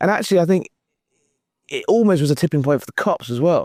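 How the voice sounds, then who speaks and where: With a British accent, a man talks very fast at a high pitch with lively intonation, the sound dry and close with no echo. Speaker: journalist. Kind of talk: political interview. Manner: halting.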